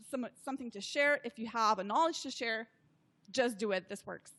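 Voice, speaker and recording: Speaking at a fairly quick pace, a woman with a Slovenian accent uses a raised, projected voice and ordinary pitch variation. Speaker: social media consultant. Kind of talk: interview.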